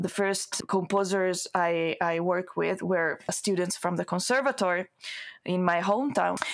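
A woman with an Italian accent talks at a fairly slow pace and medium pitch, with ordinary pitch variation and very even loudness. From Italy. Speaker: singer and voice researcher. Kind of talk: interview conversation.

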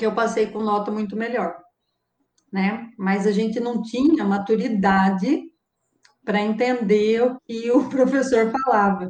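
Somewhat breathy, a woman with a fairly high pitch speaks at a fairly slow pace with fairly even intonation. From Brazil, Araras (São Paulo state). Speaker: mathematics professor. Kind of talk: interview.

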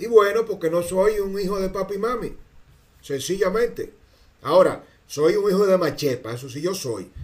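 A man with a Dominican accent sounds animated, pitched high with lively intonation and big swings in loudness. He keeps a moderate pace. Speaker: political commentator. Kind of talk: political commentary monologue.

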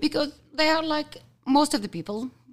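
A woman with an Arabic accent speaks with very wide pitch swings. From Kuwait. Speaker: team lead. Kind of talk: interview. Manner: halting.

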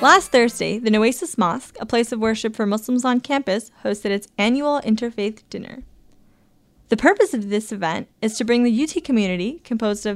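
A woman with a normal speaking voice talks at a fairly quick pace, her pitch fairly high and its variation ordinary, in a very clean recording with a silent background. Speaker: student reporter. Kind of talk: scripted news feature narration.

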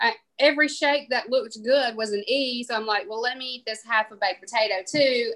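A woman's high-pitched voice with a bright, sharp tone and a Southern US accent. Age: 40s. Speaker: podcast co-host. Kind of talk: casual chat.

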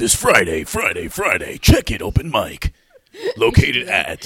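This put-on character voice is loud and booming. It moves at a fairly slow pace. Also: man. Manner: loud, hyped, booming.

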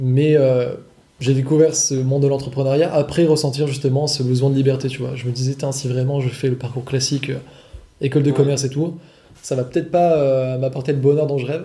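The man's voice is fairly high in pitch, somewhat breathy, and dark and mellow in tone, with a monotone, flat intonation. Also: fairly quick pace. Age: 20s. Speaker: online course seller, copywriter. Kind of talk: casual chat. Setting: in person, on location.

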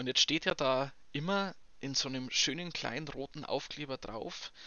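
A man speaks with a Bavarian accent at a fairly high pitch. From Bavaria, Chiemsee area. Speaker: podcast co-host. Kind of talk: casual chat.

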